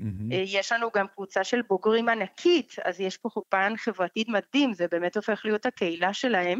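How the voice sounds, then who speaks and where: Speaking at a moderate pace with hardly any pauses, a woman with a non-native accent uses a medium pitch and ordinary pitch variation, her dry, close sound carrying no echo over a quiet background. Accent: foreign accent in Hebrew. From Colombia. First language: Spanish (speaking Hebrew). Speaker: foundation director. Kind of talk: interview. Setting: phone call. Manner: halting.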